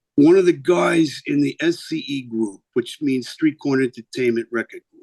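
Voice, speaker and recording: The sound is dry and close, with no echo. A man with a New York accent speaks at a fairly slow pace. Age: 50s. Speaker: singer and record label owner. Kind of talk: interview. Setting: video call.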